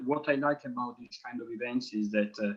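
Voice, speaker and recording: A man with a strong Italian accent, flat monotone intonation and a fairly quick pace. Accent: heavy Italian. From Italy. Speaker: professor and forum co-organizer. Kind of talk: forum introduction.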